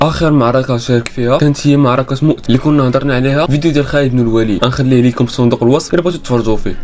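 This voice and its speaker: Amid noticeable background noise, a man speaks at medium pitch. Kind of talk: storytelling narration of religious history.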